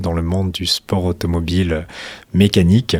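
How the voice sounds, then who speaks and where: He speaks at a fairly slow pace with fairly even intonation. The man's pitch is very deep and low. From France, Hautes-Alpes. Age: 20s. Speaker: racing school founder. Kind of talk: radio interview.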